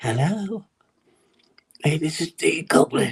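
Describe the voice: In a put-on character voice at a middle pitch, the speaker goes at a fairly slow pace.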